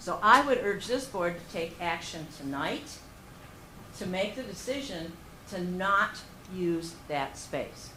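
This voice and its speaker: A woman at a very slow pace and medium pitch, with lively intonation, long, frequent pauses, big swings in loudness and audible room echo. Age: 60s. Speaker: member of the public at a meeting. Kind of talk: public comment. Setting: township board meeting.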